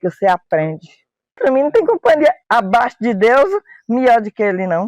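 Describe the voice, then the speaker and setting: A man's extremely high pitch makes very wide pitch swings in a dry, close sound with no echo. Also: moderate pace. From rural Goiás, Brazil. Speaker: radio listener. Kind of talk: documentary interview.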